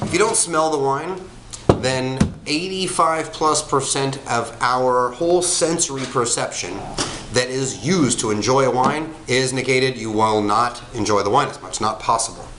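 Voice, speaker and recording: Against noticeable background noise and audible room echo, a man talks at a moderate pace. His medium-pitched voice carries lively intonation. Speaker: wine reviewer. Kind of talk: product review. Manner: casual, with fillers; stuttering a little.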